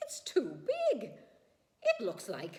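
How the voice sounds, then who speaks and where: This is a squeaky, put-on character voice. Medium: read story. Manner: fretful, whimpering.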